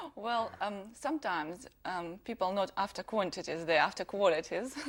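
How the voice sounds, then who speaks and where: A woman speaks at a moderate pace in a Russian accent. Her medium pitch carries lively intonation. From Russia (Siberia), raised partly in Ukraine. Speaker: designer. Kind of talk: TV interview. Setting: TV studio.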